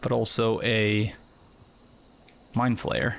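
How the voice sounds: A nasal man with vocal fry speaks at medium pitch in a fairly bright tone.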